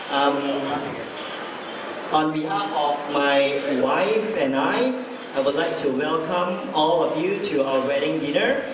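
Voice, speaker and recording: With audible room echo and noticeable background noise, a man talks at a fairly slow pace with ordinary pitch variation. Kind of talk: wedding toast speech. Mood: cheerful, a bit nervous. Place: hall.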